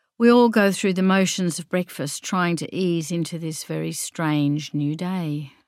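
This very clean recording has a silent background. A woman with a fairly low pitch speaks at a fairly slow pace. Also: ordinary pitch variation, hardly any pauses. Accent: Australian. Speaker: author and gardening writer. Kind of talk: reading aloud.

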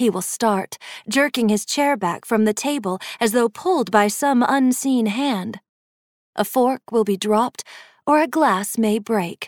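A plain, everyday voice from a woman at a fairly high pitch, fairly slow in pace, with ordinary pitch variation and very even loudness, in a dry, close sound with no echo and a very clean recording with a silent background. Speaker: audiobook narrator. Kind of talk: second-person ghost story narration, read aloud like a creeping bedtime tale. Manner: hushed, measured and suspenseful, letting each ominous detail linger; slow, deliberate pacing with dry, teasing menace.

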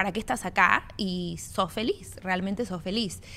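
This woman's tone is bright and sharp. She talks at a fairly slow pace. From Argentina-born, raised in Miami. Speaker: former TV actress turned coach. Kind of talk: casual interview.

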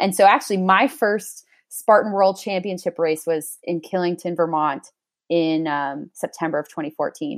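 A woman with an unremarkable speaking voice, medium pitch and ordinary pitch variation talks at a moderate pace on a very clean recording with a silent background. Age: 20s. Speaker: sports dietitian and athlete. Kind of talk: casual interview.

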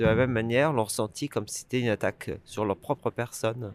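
A man speaks at a medium pitch and moderate pace in an unremarkable speaking voice. The recording is very clean, with a silent background and a dry, close sound with no echo. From France. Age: 40s. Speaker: campaigner for EU citizens' rights. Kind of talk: interview.

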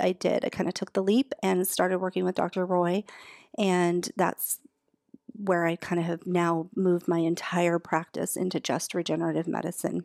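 On a very clean recording with a silent background and a dry, close sound with no echo, a woman speaks at a moderate pace in a fairly low pitch with monotone, flat intonation. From Alaska. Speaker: naturopathic doctor. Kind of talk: interview. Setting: studio.

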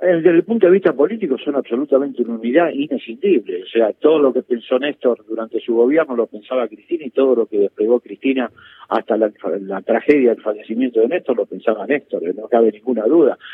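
Lively in intonation, a man talks at a very fast pace and medium pitch. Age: 60s. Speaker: political analyst and sociologist. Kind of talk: interview.

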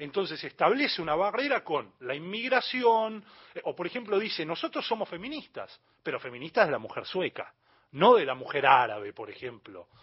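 At a moderate pace, a man speaks in a high voice with very wide pitch swings and big swings in loudness. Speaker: journalist and magazine editor. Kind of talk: radio interview.

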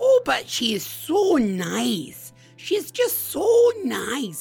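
A put-on character voice carries a strong Minnesotan accent as part of the act. It moves at a very slow pace with music in the background. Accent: thick Minnesota.

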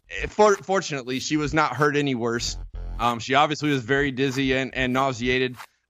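With music in the background, a man speaks at a fairly quick pace, his pitch medium and its variation ordinary. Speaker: former baseball pitcher and analyst. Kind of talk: casual sports talk chat. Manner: relaxed, conversational.

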